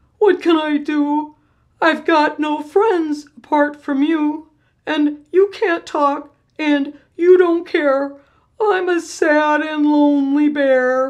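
Putting on a character voice, a woman talks at a high pitch and a very slow pace. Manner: sorrowful.

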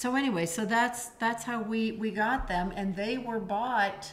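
A woman speaks with fairly even intonation. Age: 50s. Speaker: podcast host, miniature horse sanctuary owner. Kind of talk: casual chat. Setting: home recording setup. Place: kitchen. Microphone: studio mic.

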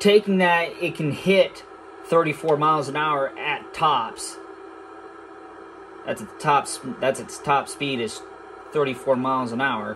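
With music in the background, a man talks at a very slow pace, with long, frequent pauses. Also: big swings in loudness. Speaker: gamer. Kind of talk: casual gameplay commentary. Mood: relaxed, casual. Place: home room. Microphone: phone near.

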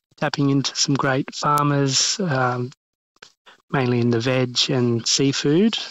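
Speaking very slowly with an Australian accent, a man keeps a fairly high pitch and fairly even intonation. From Western Australia (Albany). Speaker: chef and restaurant owner. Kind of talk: interview. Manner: hesitant, many ums.

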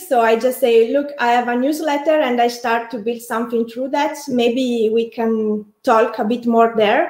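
A woman speaks at a high pitch and a fairly slow pace with fairly even intonation, the background quiet but with audible room echo. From Italy. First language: Italian. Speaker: architect and online community builder; interview guest. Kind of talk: casual interview. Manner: halting, with many fillers and repetitions. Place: home room.

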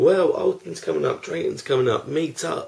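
A man speaks with an English accent against a quiet background. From England. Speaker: theme park vlogger. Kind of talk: casual vlog monologue. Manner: unscripted, one take. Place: home room. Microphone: webcam.

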